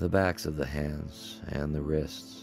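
Music plays in the background as a man with a very deep, low pitch talks at a very slow pace. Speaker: yoga teacher leading guided relaxation. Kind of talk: yoga nidra guided relaxation. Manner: slow, calm, soothing pacing.

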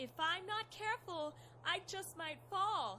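Over clear background noise, a female-sounding voice in a put-on, squeaky character voice speaks at a fairly slow pace with extremely high pitch for a woman. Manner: melodramatic, feigned panic.

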